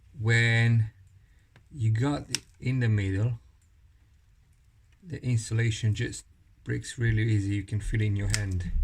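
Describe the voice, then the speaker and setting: Somewhat breathy, a man with a non-native accent and a medium pitch speaks at a fairly slow pace with fairly even intonation and long, frequent pauses. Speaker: technician / tradesperson. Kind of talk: tutorial. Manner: casual, demonstrative.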